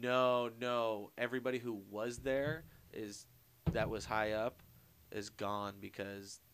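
A fairly low-pitched man's voice at a very slow pace, with fairly even intonation. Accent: American. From Long Beach, California. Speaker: podcast producer. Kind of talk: casual chat.

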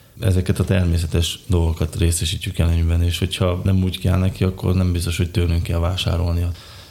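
Very fast and flat in monotone, a man speaks at a very deep, low pitch with very even loudness. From Slovakia, Bodrogköz (Hungarian minority). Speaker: design engineer and beekeeper. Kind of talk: interview.

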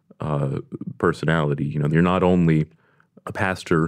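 A man with an American accent speaks in a very deep, low voice. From US Deep South. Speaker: Baptist pastor. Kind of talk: interview. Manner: halting, with many fillers.

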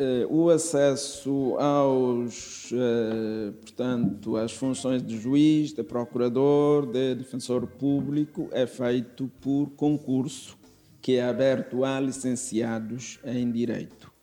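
A man speaks at a very slow pace in a medium pitch, his intonation fairly even, with music playing in the background. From East Timor. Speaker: judge. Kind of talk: interview. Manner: halting, with frequent filler sounds.

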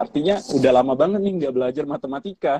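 A man's dark, mellow tone comes through with ordinary pitch variation. The sound is dry and close, with no echo. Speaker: civil servant, scholarship awardee. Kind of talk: casual interview.

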